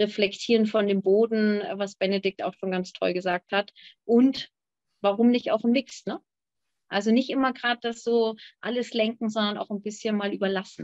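An ordinary speaking voice moves at a moderate pace with fairly even intonation. The sound is dry with no echo, and the background is quiet. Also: woman, fairly high pitch for a woman. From Hamburg, Germany. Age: young. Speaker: winemaker; guest. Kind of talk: panel discussion. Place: home room. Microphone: video call.

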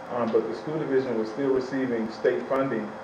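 Heard through audible room echo and noticeable background noise, a man speaks. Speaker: school superintendent. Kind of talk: public meeting presentation. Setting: town council meeting. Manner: fast.

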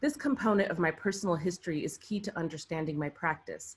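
Somewhat breathy, a woman speaks with a fairly low pitch. Her pace is fairly quick, with ordinary pitch variation. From Iraq. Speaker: visual artist. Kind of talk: prepared reading. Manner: formal. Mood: calm, reflective. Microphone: webcam.

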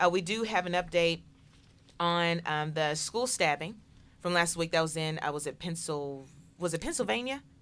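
On a very clean recording with a silent background, a woman speaks at a moderate pace. Her pitch is fairly low, with ordinary pitch variation. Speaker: political talk show host. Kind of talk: casual chat. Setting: studio. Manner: animated.

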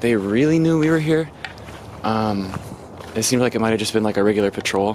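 The sound is dry with no echo, but noticeable background noise runs underneath. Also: man. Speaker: urban explorer vlogger. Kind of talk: casual vlog chat. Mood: tense, hushed, then relieved. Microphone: phone near.

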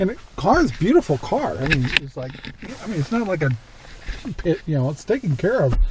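Big pitch swings mark a man's fairly high-pitched voice.

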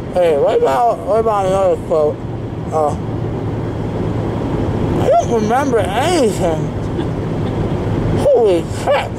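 Through loud background noise, a man speaks at a fairly slow pace with long, frequent pauses. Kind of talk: casual vlog chat. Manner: groggy, slurred post-anesthesia speech. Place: car. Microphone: phone near.

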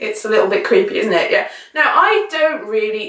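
A woman's raised, projected voice at a fairly quick pace, with very wide pitch swings, audible room echo and a quiet background. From England. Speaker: vlogger. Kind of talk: casual talk to camera. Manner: chatty, rambling. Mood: wry, playful. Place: home room.

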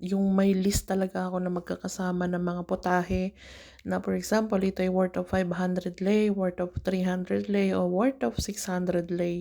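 At a fairly slow pace, a woman speaks with monotone, flat intonation and very even loudness. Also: medium pitch for a woman, very clean recording, silent background. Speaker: domestic worker vlogger. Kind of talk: cooking vlog. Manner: casual, chatty.

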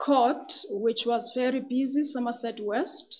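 Soft-spoken and very slow, a woman talks in a high pitch. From South Africa. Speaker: magistrate and judicial candidate. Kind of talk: formal job interview. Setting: hearing room with microphones. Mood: calm, formal, measured. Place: meeting room. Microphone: podium.

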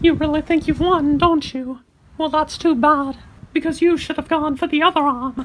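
The speaker uses a high-pitched, put-on character voice at a moderate pace. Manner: menacing, smug.

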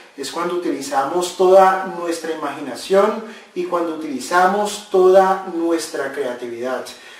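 A man's fairly high voice at a fairly slow pace, with ordinary pitch variation and audible room echo

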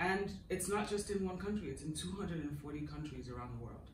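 A woman at a moderate pace, with light background noise and audible room echo. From Nigeria. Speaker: marketing executive. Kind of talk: interview. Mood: warm, enthusiastic. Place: home room.

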